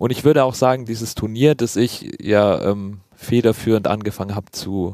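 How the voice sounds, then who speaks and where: A man talks at a moderate pace and medium pitch in a plain, everyday voice, with ordinary pitch variation and a dry, close sound with no echo. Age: 20s. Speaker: doctoral student and rugby player. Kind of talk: casual chat.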